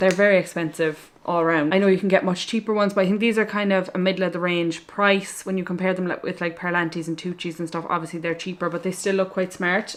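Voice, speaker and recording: A woman speaks in an Irish accent at a fairly low pitch. Her intonation stays fairly even. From Ireland. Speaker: equestrian vlogger. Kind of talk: casual talk to camera.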